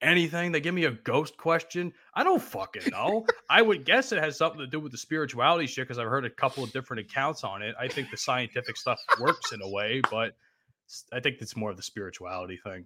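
A man with an American accent talks at a very fast pace in a bright, sharp tone, with a fairly high pitch, vocal fry, very wide pitch swings and big swings in loudness. The recording is very clean, with a silent background. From New Jersey. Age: 20s. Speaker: podcast host. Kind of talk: casual chat.

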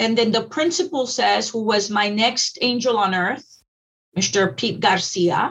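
A woman with an American accent has an unremarkable speaking voice and a fairly high pitch. She talks at a fairly slow pace with lively intonation. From Texas Rio Grande Valley. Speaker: school district educator. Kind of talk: interview.

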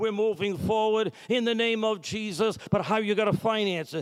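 A man talks with an American accent. His pitch is high. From Massachusetts. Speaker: pastor. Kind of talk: sermon. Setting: church. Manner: animated.

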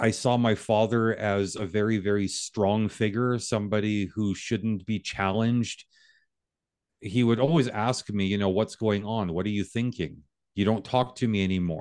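A man talks at a moderate pace with fairly even intonation and a fairly low pitch. He has a plain, everyday voice, heard against a quiet background. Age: 50s. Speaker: reconciliation coach. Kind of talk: interview.

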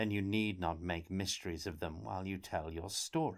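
A man puts on a character voice. It is very deep and low. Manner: sour, displeased, curt.

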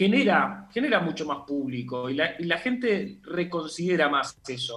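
A man speaks with a bright, sharp tone. His pitch swings very widely. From southern Argentina. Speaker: film director and teacher. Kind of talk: interview.

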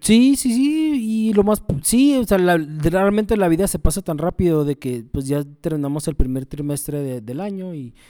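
With a Mexican accent, a man speaks at a high pitch in a dark, mellow tone. His pitch swings very widely as he keeps a moderate pace with hardly any pauses. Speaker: podcast co-host. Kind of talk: casual chat.

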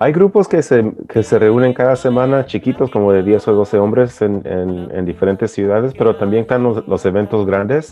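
A man with an ordinary speaking voice talks at a moderate pace and a fairly low pitch, with ordinary pitch variation and hardly any pauses. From US, born in El Salvador. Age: 40s. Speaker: men's support group member. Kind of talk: personal testimony.

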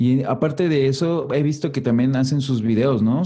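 With a Mexican accent and a dark, mellow tone, a man speaks at a moderate pace with ordinary pitch variation over a quiet background. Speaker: podcast host. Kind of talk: casual chat.

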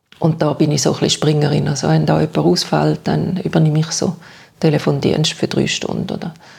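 Noticeable noise sits behind speech delivered at a rather brisk tempo. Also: woman. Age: 60s. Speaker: retired social worker and stroke survivor. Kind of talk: interview about personal experience. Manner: hesitant, many fillers.

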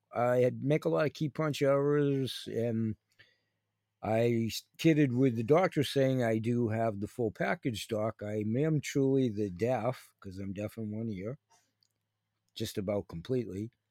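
A man speaks at a medium pitch and fairly slow pace with ordinary pitch variation and a dark, mellow tone. The recording is very clean, with a silent background and a dry, close sound with no echo. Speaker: podcast host. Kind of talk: casual monologue. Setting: home studio, video recording. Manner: rambling, meandering.

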